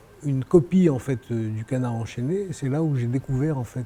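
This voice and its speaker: A man of medium pitch speaks at a moderate pace with noticeable background noise. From France. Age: 60s. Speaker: real estate developer. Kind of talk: interview. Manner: hesitant, many fillers and repetitions.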